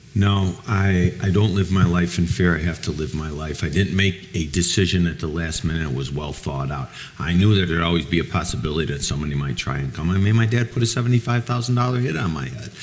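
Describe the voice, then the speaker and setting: Through noticeable background noise, a man with an American accent speaks at a very fast pace in a very deep, low pitch with lively intonation. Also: hardly any pauses. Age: 60s. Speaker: former mobster. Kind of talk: panel talk with audience. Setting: museum event with audience.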